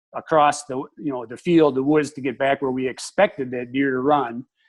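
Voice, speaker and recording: A man with an Upper Midwest accent talks at a fairly quick pace in a fairly high pitch against a quiet background. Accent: Upper Midwest American. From Wisconsin, Dane County. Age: 60s. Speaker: retired wildlife technician and hunting instructor. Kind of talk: interview.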